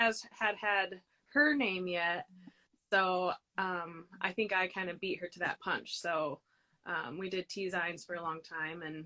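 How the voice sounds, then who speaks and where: At a fairly slow pace, a woman with medium pitch and a bright, sharp tone speaks in an Upper Midwest accent. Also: ordinary pitch variation. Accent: Upper Midwest, shows when saying South Dakota. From US Midwest (South Dakota) and Colorado. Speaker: crochet designer. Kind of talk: casual interview chat. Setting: livestream.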